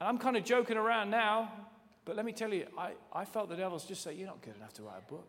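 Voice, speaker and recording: In an English accent, a man with a high voice speaks very fast, with ordinary pitch variation and big swings in loudness. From England. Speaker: pastor. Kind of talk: sermon. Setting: church. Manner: animated.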